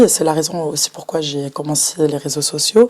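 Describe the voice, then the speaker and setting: Noticeable background noise behind a woman's fairly low voice, moving at a moderate pace. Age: 20s. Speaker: singer-songwriter. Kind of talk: casual interview.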